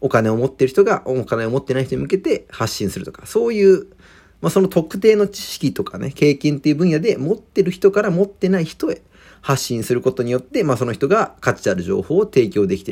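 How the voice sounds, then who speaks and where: With vocal fry, a man's voice moves through very wide pitch swings and big swings in loudness. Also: fairly quick pace. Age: 20s. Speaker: podcaster. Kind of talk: solo monologue. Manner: casual, filler-heavy.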